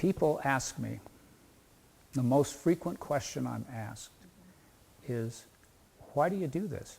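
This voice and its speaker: Somewhat breathy and fairly high, a man's voice moves at a fairly slow pace with lively intonation and long, frequent pauses. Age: 70s. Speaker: retired judge. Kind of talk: interview.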